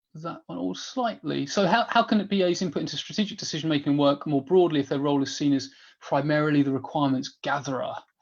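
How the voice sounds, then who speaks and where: Against a quiet background, a man talks with lively intonation in a fairly high voice. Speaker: business analysis trainer. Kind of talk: webinar Q&A. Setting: online webinar. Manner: fast; animated.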